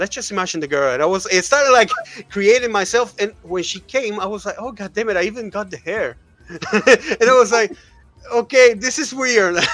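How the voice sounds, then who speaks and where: With music in the background, a man speaks in an Argentinian accent at a high pitch and a fairly quick pace. His intonation is lively and his loudness swings widely. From Argentina. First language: Spanish. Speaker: streamer. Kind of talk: casual chat.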